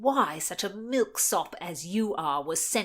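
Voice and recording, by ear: Someone is reading aloud in a natural voice, and the intonation is lively.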